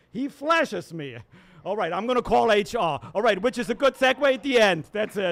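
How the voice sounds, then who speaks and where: With noticeable background noise behind him, a high-pitched man speaks at a moderate pace with lively intonation. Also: long, frequent pauses. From Germany. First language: German. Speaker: open mic comedian, venue staff member. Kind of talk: stand-up. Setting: stage with audience.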